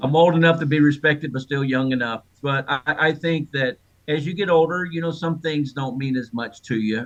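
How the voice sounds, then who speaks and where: A man with an ordinary speaking voice talks at a moderate pace. He uses fairly even intonation and hardly any pauses. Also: fairly high pitch for a man. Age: 60s. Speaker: author of a church memoir. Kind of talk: interview.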